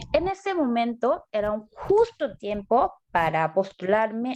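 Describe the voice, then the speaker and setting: A woman speaks fairly slowly with a Korean accent. Her fairly high pitch swings very widely. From South Korea. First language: Korean (speaking Spanish). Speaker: graduate student. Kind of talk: interview.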